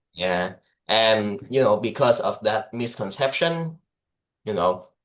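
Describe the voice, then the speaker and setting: Against a quiet background, a man with a medium pitch speaks at a very slow pace, his intonation lively. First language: Vietnamese. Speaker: English teacher and podcast co-host. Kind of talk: casual discussion. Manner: halting, many fillers and restarts.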